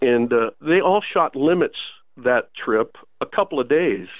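A man with a normal speaking voice, medium pitch, and ordinary pitch variation. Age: 60s. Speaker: outdoor writer and newsletter editor. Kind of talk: casual interview chat.

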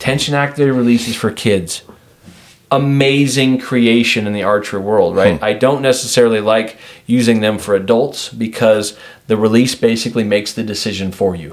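A man with an American accent speaks at a fairly quick pace with a medium pitch and ordinary pitch variation. He has an ordinary speaking voice. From Washington. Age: 40s. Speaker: shooting coach. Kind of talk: podcast interview.

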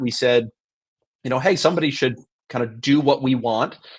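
A man uses a normal speaking voice, pitched in the medium range and with fairly even intonation. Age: 40s. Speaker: entrepreneur. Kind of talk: casual interview.

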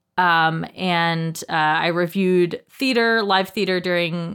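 On a very clean recording with a silent background, a woman with an American accent uses an ordinary speaking voice, fairly low in pitch, with fairly even intonation. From US South, North Carolina. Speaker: guest, former musical theater performer. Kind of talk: casual chat.

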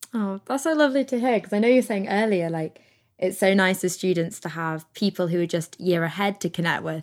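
Fairly quick pace, an unremarkable speaking voice and lively intonation. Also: woman, medium pitch for a woman. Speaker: podcast host. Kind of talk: interview. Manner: laughs often, casual.

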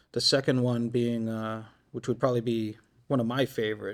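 A man with an American accent and a plain, everyday voice, medium in pitch, his intonation fairly even. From Shrewsbury, Massachusetts. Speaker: municipal fleet manager. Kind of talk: interview.

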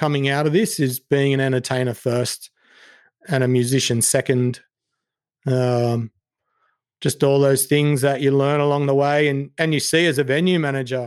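With an Australian accent, a man speaks at a fairly high pitch, his intonation fairly even and his loudness very even, broken by long, frequent pauses. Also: moderate pace. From Sydney, southwest. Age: 40s. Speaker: singer and entertainment manager. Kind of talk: casual chat.

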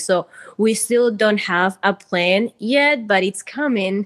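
A woman with a Spanish accent, dry and close with no echo, over a quiet background. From Peru. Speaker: community organization founder. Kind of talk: interview.

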